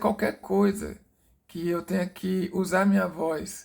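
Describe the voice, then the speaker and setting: A soft-spoken man at a very slow pace, in a very clean recording with a silent background. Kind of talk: personal testimony. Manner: halting, many fillers.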